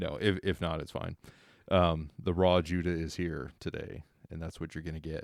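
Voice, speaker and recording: A man speaks at a very deep, low pitch and a moderate pace. His intonation is fairly even on a very clean recording with a silent background. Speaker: podcast co-host. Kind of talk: personal testimony. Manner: passionate; halting, stuttering.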